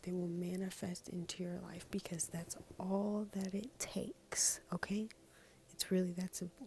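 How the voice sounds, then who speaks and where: Whispering quietly, a woman speaks in a somewhat breathy voice at a fairly slow pace. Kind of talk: casual talk to camera. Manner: quiet, partly whispered.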